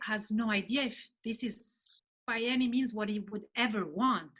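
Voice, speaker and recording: Speaking at a moderate pace, a woman with an Italian accent has a fairly high pitch. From Italy. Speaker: novelist. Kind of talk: interview chat. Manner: halting.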